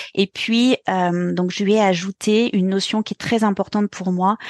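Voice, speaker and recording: This woman's voice sits at a medium pitch, with fairly even intonation and a fairly slow pace. The sound is dry and close with no echo, over a quiet background. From France, Burgundy. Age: 40s. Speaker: pilates and dance teacher. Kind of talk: interview. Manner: hesitant.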